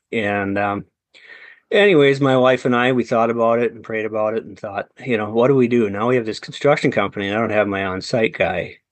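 A man with a Wisconsin accent speaks at a fairly quick pace in a medium pitch, his intonation fairly even but his loudness swinging widely. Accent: Upper Midwest (Wisconsin). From central Wisconsin. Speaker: entrepreneur and real estate investor. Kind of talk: interview.

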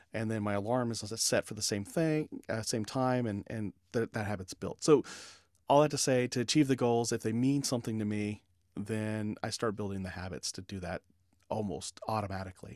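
On a very clean recording with a silent background and a dry, close sound with no echo, a man with an ordinary speaking voice talks at a medium pitch and a fairly quick pace, with ordinary pitch variation. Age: 40s. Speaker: leadership consultant and podcaster. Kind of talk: interview.

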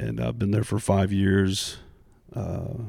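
The recording is very clean, with a silent background. A man with an American accent and a fairly low pitch speaks at a fairly slow pace in a dark, mellow tone. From US Midwest, Indianapolis. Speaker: church drummer and youth ministry volunteer. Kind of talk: casual roundtable chat.

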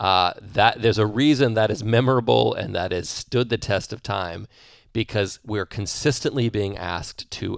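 A man talks in an ordinary speaking voice at a fairly low pitch and a moderate pace, with ordinary pitch variation. The recording is very clean, with a silent background and a dry, close sound with no echo. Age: 40s. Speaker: business and performance coach. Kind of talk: solo podcast monologue. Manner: conversational with fillers and repetitions.

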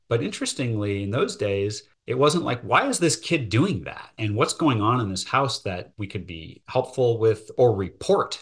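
Against a quiet background, a man with a medium pitch and a somewhat breathy voice talks at a moderate pace with very wide pitch swings and hardly any pauses. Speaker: lawyer and businessman. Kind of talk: interview. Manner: hesitant, with repetitions.

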